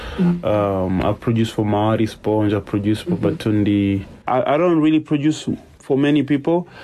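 A man with a medium pitch and a dark, mellow tone speaks at a fairly quick pace. His intonation is lively and his loudness very even. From DR Congo (Goma). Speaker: singer and music producer. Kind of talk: interview.

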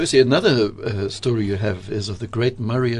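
A man speaks at a fairly quick pace. His pitch is fairly low, and there is noticeable background noise. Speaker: radio host. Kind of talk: radio interview. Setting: studio.

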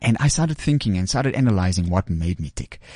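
In a dark, mellow tone, a man speaks with lively intonation over a quiet background. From South Africa, West Rand. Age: 30s. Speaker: fashion entrepreneur. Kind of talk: interview. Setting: studio.

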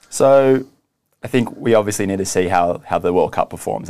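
Fairly quick speech on a very clean recording with a silent background. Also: man. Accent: Australian. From Australia. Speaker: video streaming executive. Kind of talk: business interview. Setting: studio.

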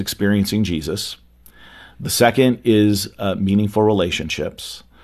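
In a normal speaking voice, a man talks at a medium tempo. His voice is rather low, with mostly level intonation. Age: 50s. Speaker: youth ministry speaker and author. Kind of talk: interview.

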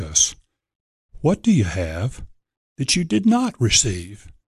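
Fairly slow, somewhat breathy speech with an American accent, very wide pitch swings, and a quiet background. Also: man. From Virginia, Norfolk. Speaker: pastor. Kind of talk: sermon excerpt; radio interview.

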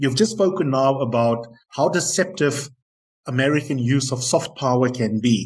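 Somewhat breathy, a man talks at a moderate pace and a medium pitch with ordinary pitch variation. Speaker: podcast host. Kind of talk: interview.

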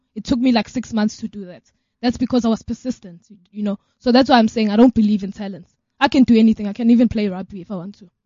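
A woman's somewhat breathy, fairly high voice at a very fast pace, with fairly even intonation and big swings in loudness. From South Africa. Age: young. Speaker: organization co-founder and DJ. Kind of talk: radio interview.

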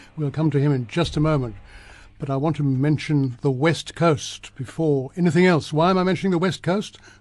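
A man with an unremarkable speaking voice talks at a moderate pace. His pitch is fairly high, with ordinary pitch variation. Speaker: radio host. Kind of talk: radio interview. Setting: studio.

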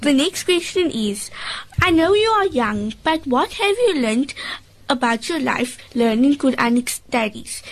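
Noticeable background noise runs behind a woman speaking at a fairly slow pace. Her intonation is lively, and her loudness stays very even. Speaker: radio host. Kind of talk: radio interview with children. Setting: studio.

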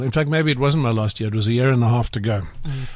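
An unremarkable speaking voice goes at a fairly quick pace, its pitch varying in an ordinary way. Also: man. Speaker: writer and journalist. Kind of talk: casual studio interview.

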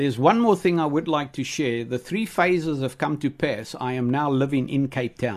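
Against a quiet background, a man with a fairly high pitch and an American accent speaks at a moderate pace with lively intonation and hardly any pauses. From South Africa, Free State. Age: 60s. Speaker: preacher. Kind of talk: testimony. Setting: studio. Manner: animated.

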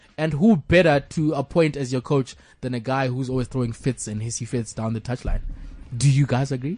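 The speaker talks at a fairly quick pace in a somewhat breathy, animated way, with ordinary pitch variation. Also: man, medium pitch for a man. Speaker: podcast host. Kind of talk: casual comedic banter. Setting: studio. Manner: animated, laughs often.

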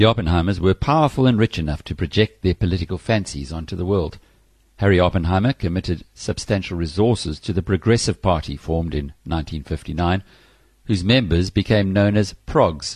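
Somewhat breathy speech at a fairly quick pace with ordinary pitch variation, a dry, close sound with no echo and a quiet background. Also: man, very deep, low pitch for a man. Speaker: audiobook narrator. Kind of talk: audiobook reading of a political history, formal narration. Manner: measured, formal, even-paced.

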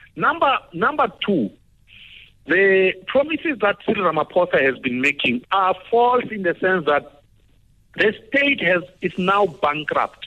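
Pitched high, a man talks at a fairly slow pace. His voice has very wide pitch swings. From South Africa. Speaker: political analyst. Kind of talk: radio interview.

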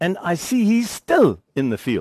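Speaking with a German accent at a fairly slow pace and with lively intonation, a man comes through with a dry, close sound with no echo and a quiet background. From Germany, then South Africa from age 15. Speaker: engineering lecturer. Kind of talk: lecture.

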